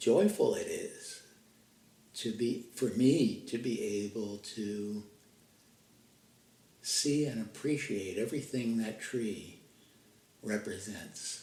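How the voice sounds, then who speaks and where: Very slow and marked by long, frequent pauses, a man speaks at medium pitch in a dark, mellow, somewhat breathy tone with ordinary pitch variation. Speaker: meditation guide; podcaster. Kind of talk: guided meditation. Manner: slow, with pauses.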